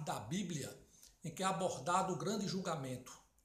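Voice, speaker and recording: Audible room echo surrounds a man speaking at a high pitch and a moderate pace. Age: 60s. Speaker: political commentator. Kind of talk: political opinion monologue.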